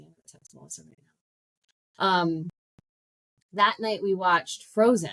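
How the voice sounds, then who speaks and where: Loud and animated, a woman speaks at a fairly quick pace in a fairly low pitch, with long, frequent pauses. The sound is dry and close, with no echo. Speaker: life coach podcast host. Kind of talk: casual monologue.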